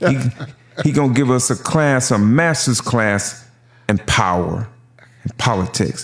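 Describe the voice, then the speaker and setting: With an American accent, a man of medium pitch speaks fairly slowly. His intonation is lively, and vocal fry runs through his voice. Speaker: podcast host. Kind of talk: casual podcast talk.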